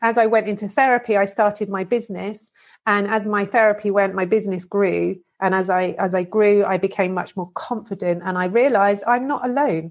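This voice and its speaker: A woman speaks with a British accent. Her intonation is fairly even and her pace fairly quick. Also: medium pitch for a woman. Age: 40s. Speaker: abuse survivor and advocate. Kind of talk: testimony.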